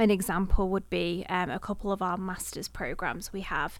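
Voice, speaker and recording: A woman at medium pitch in a Manchester accent, with fairly even intonation, in a very clean recording with a silent background. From Manchester area, England. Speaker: university communications director. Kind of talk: interview.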